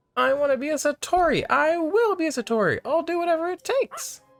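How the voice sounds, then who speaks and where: A man speaks very fast in a put-on character voice pitched extremely high. Faint music plays in the background. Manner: dramatic, determined.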